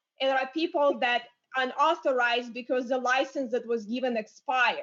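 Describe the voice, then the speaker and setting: Her pitch is high and her pace fairly quick. The woman keeps very even loudness and fairly even intonation. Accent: non-native. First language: not English. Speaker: congresswoman. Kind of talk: committee debate remarks.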